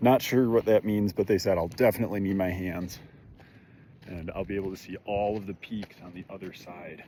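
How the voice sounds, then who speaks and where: A man with an American accent talks at a fairly quick pace in a fairly low, dark, mellow voice. His intonation stays fairly even while his loudness swings widely. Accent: Michigan accent, noticed by locals. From Michigan, US. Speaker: vlogger. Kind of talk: casual vlog narration while hiking. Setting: outdoors on a mountain hike. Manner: casual.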